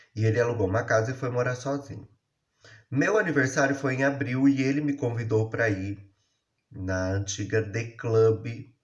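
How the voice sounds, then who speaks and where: A man's somewhat breathy voice at a moderate pace. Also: medium pitch for a man, ordinary pitch variation. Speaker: YouTuber telling his life story. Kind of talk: personal storytelling monologue. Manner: casual, conversational.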